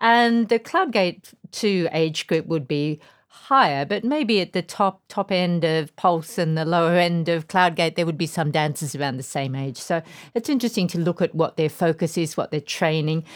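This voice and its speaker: In an Australian accent, the speaker moves at a moderate pace with ordinary pitch variation on a very clean recording with a silent background. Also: woman, fairly low pitch for a woman. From Tasmania, Australia. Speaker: podcast host, dance writer. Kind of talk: casual chat.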